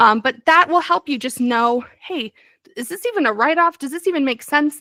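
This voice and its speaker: A woman projects her raised voice at a high pitch with a bright, sharp tone and lively intonation. The pace is fairly quick, and the sound is dry and close with no echo. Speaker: bookkeeper and business advisor. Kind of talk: training presentation. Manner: fast; hesitant fillers.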